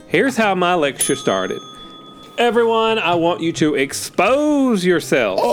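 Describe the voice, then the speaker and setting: With music in the background, a man speaks high-pitched at a fairly slow pace, his pitch swinging very widely while his loudness stays very even. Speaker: comedy podcast co-host. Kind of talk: comedy sketch chat. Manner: animated, joking.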